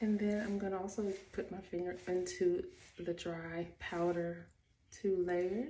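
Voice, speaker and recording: With audible room echo, a woman speaks at a medium pitch in a dark, mellow, somewhat breathy tone. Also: fairly even intonation, fairly slow pace. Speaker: beauty and fashion vlogger. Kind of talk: get-ready-with-me tutorial. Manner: soft, near whisper; casual, chatty.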